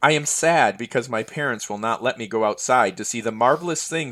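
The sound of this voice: Here the reading is done in an unforced voice.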